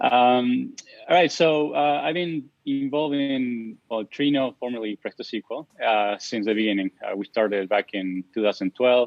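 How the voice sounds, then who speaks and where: With an Argentine accent, a man speaks at medium pitch and a moderate pace, with ordinary pitch variation and hardly any pauses. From Argentina. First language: Spanish. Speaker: software engineer. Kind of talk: interview. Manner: halting, many repetitions.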